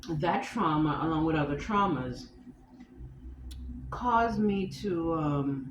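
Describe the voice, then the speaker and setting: Very deep and low in pitch, a woman speaks very slowly with lively intonation, very even loudness and long, frequent pauses, amid noticeable background noise and audible room echo. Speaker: vlogger. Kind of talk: personal vlog monologue. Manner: halting with tics and self-corrections.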